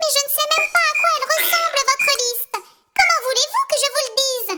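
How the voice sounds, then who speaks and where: A female-sounding put-on character voice rings out at an extremely high pitch. It moves at a fairly quick pace. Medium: read story. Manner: chatty, offhand.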